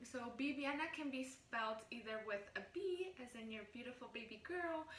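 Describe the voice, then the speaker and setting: In a Spanish accent, a woman with a high voice and lively intonation talks at a moderate pace, with noticeable background noise and audible room echo. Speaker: vlogger. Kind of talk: casual vlog talk. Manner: animated.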